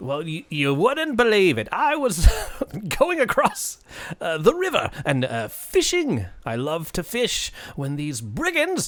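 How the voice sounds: This man puts on a character voice. His delivery is moderately paced.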